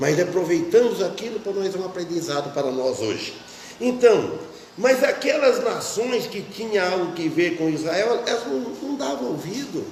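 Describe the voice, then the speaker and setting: Amid noticeable background noise and audible room echo, a man speaks at a high pitch with very wide pitch swings. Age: 60s. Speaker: pastor. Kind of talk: sermon. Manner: halting.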